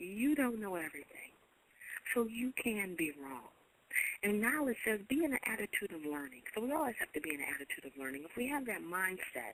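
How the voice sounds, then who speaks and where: Her pitch swings very widely around a medium level. The woman talks at a fairly quick pace. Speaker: internet radio host. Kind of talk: inspirational radio talk. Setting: online radio show. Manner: fast.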